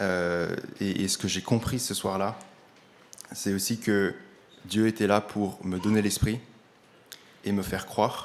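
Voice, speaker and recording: Very slowly and with long, frequent pauses, a man speaks at a fairly low pitch in a monotone, flat delivery. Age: 20s. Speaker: church member giving testimony. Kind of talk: testimony. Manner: halting.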